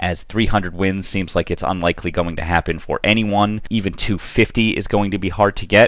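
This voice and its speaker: A man with an American accent and a plain, everyday voice, fairly low in pitch, at a fairly quick pace with fairly even intonation and hardly any pauses. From US Northeast, Boston. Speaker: podcast host. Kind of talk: podcast interview.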